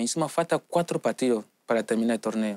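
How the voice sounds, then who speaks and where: Lively in intonation, a man talks at a fairly quick pace on a very clean recording with a silent background, the sound dry and close with no echo. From Nigeria, Lagos. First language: English or a Nigerian language (speaking Spanish). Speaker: footballer. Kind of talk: interview. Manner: halting non-native Spanish.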